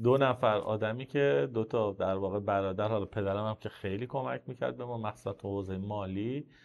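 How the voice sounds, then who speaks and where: A fairly low-pitched man at a very fast pace. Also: ordinary pitch variation, hardly any pauses. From Iran, Isfahan. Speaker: entrepreneur in supplements and pharma distribution. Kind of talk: podcast interview. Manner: casual, conversational storytelling.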